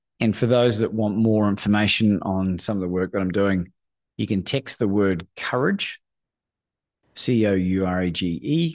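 Deep and very low, this man's voice carries an Australian accent. He talks in that register throughout. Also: very clean recording, silent background. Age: 40s. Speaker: courage coach. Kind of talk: casual chat.

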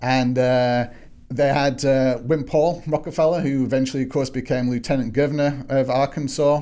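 A man with an English accent speaks at medium pitch in a dark, mellow tone. His delivery is a flat monotone at a moderate pace, with very even loudness. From northwest England, Manchester. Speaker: historian. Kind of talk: interview.

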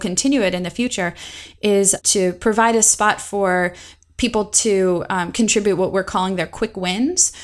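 A woman's plain, everyday voice of medium pitch at a moderate pace with ordinary pitch variation. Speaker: instructional designer. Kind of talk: casual interview chat.

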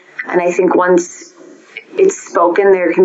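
A woman with an American accent talks at a moderate pace over noticeable background noise. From Minnesota. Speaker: family therapist. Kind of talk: interview conversation.

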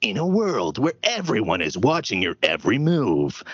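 Putting on a character voice, a man at medium pitch makes very wide pitch swings. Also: moderate pace.

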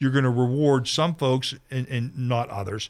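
A man speaks at a medium pitch in an American accent. The recording is very clean, with a silent background. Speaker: radio talk show host. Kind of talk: radio interview. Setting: radio studio. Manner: fast.

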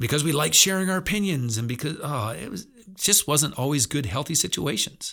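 A man's fairly high-pitched voice with vocal fry, a bright, sharp tone, lively intonation and a very fast pace, on a very clean recording with a silent background. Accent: American. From central Pennsylvania. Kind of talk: devotional talk. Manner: conversational.

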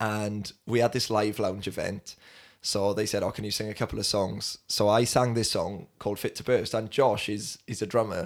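A man speaks with a Welsh accent at a fairly low pitch and a monotone, flat intonation. The recording is very clean with a silent background. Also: moderate pace. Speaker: podcast host and youth leader. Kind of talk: casual chat.

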